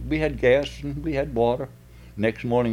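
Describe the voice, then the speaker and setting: With an American accent, a man talks at a moderate pace. His voice carries vocal fry. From Virginia. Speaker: retiree and hobby actor. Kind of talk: casual chat. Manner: laughing, relaxed.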